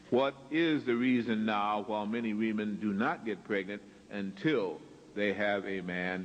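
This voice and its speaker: Speaking at a fairly slow pace, a man with a fairly low pitch and ordinary pitch variation is heard with audible room echo. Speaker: lecturer. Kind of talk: lecture.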